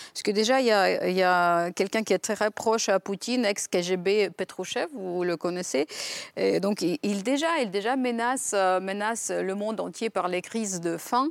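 A woman with a Ukrainian accent speaks at a fairly slow pace in a medium pitch with ordinary pitch variation. The recording is very clean, with a silent background and a dry, close sound with no echo. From western Ukraine. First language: Ukrainian (speaking French). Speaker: writer and former diplomat. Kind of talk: TV panel discussion. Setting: TV studio.

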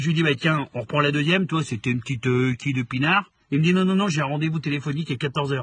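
A man's fairly high voice, fairly quick in pace, with lively intonation. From France, Saint-Étienne area (Lyon family). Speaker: comedian. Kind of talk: casual chat.

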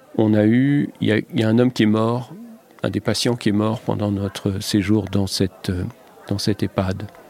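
Recorded with a dry, close sound with no echo but noticeable background noise, a man with a fairly low pitch speaks at a moderate pace with fairly even intonation. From Lorraine, France. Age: 60s. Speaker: TV foreign correspondent. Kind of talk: interview.

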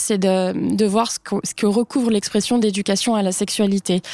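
A woman speaks at a moderate pace with fairly even intonation, in an ordinary speaking voice. The sound is dry and close, with no echo. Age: 30s. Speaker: journalist and author. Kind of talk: panel discussion.

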